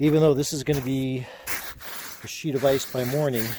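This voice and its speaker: Moderate pace and fairly even intonation, against noticeable background noise. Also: man. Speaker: vlogger. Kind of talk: casual vlog narration. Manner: mumbling.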